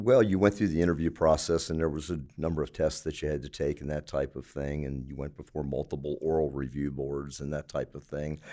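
A man's very deep, low voice in an American accent, dark and mellow, fairly even in intonation, with hardly any pauses on a very clean recording with a silent background. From Baltimore, Maryland. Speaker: retired police officer, hospital security. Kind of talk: interview.

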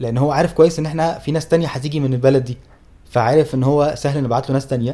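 A man talks at a very fast pace with ordinary pitch variation. His voice sits fairly high and has a dark, mellow tone. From Egypt. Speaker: travel podcast co-host. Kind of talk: casual chat. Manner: loud.

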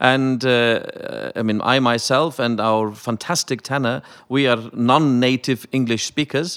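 On a very clean recording with a silent background, a man of medium pitch with a slight Welsh accent speaks at a fairly slow pace with fairly even intonation and hardly any pauses. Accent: slightly Welsh-sounding British English. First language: Icelandic. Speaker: opera singer. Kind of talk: panel discussion.

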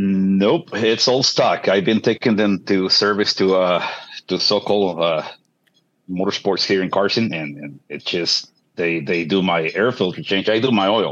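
A man's unremarkable speaking voice, fairly low in pitch with ordinary pitch variation, at a fairly slow pace over a quiet background. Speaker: motorcyclist asking a question. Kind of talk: casual chat. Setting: video call.

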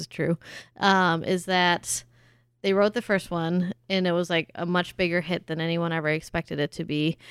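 A woman with an American accent talks at a moderate pace, her fairly low pitch showing ordinary variation, in a plain, everyday voice with a dry, close sound with no echo on a very clean recording against a silent background. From Germany. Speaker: podcast host, trivia show co-host. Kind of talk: casual chat.

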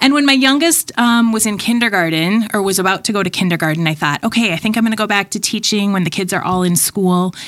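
A woman with an American accent talks at a very fast pace, hardly pausing. Her intonation is lively. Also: medium pitch for a woman, very even loudness. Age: 40s. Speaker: children's ministry pastor. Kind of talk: casual chat.

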